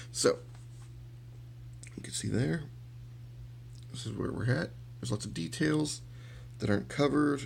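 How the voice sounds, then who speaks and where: Fairly low-pitched male voice with vocal fry and very wide pitch swings, at a moderate pace with long, frequent pauses, in audible room echo. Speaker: miniature painting hobbyist. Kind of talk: tutorial. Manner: casual, hesitant with many fillers.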